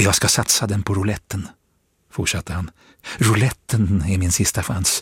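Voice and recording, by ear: Against a quiet background, the words are read aloud in a natural voice, the intonation fairly even.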